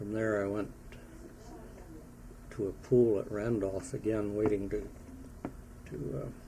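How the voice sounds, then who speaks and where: Against noticeable background noise, a man speaks with fairly low pitch and ordinary pitch variation. His pace is fairly slow, broken by long, frequent pauses. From Wisconsin, USA. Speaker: war veteran. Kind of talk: interview answer.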